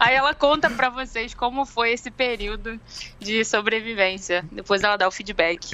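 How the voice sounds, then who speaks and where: A woman with a Rio de Janeiro accent talks at a moderate pace and fairly high pitch, with ordinary pitch variation and noticeable background noise. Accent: carioca. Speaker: research coordinator, podcast co-host. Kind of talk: casual chat.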